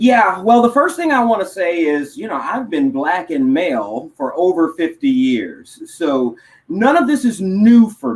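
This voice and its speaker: A man with a high pitch talks at a fairly slow pace with hardly any pauses, his pitch swinging very widely. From Texas, Houston area. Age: 50s. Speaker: motivational speaker and educator. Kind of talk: interview. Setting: live online talk show.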